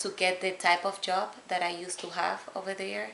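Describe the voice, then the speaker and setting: Someone speaks with a slight Spanish accent, with audible room echo. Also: woman. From Dominican Republic. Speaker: immigrant mother. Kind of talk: interview. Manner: hesitant, with fillers.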